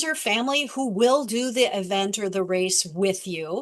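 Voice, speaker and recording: A woman's unremarkable speaking voice, medium in pitch, with lively intonation and a fairly slow pace. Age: 60s. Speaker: author and athlete with type 1 diabetes. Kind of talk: presentation.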